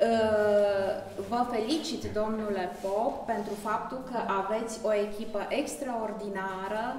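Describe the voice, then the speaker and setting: A woman at a very slow pace, with audible room echo and light background noise. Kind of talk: formal thank-you speech at exhibition opening. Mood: grateful, warm. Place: hall. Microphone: camera far.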